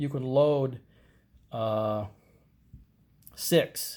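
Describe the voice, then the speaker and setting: A man speaks at medium pitch with a dark, mellow tone. The recording is very clean, with a silent background. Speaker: gun review youtuber. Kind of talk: tutorial. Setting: indoors at home. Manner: halting, many fillers and restarts; casual.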